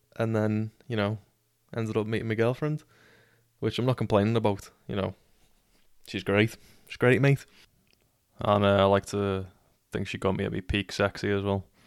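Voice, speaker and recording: A man with a Liverpool accent, fairly low in pitch, with fairly even intonation, a moderate pace and long, frequent pauses, in a very clean recording with a silent background and a dry, close sound with no echo. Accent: Scouse (Liverpool). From Liverpool, England. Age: 20s. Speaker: podcaster. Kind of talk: casual storytelling monologue. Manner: casual, sweary.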